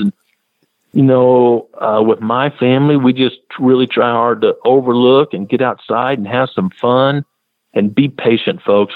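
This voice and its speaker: A man with a plain, everyday voice, medium pitch and fairly even intonation. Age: 50s. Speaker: wildlife biologist. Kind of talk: radio interview.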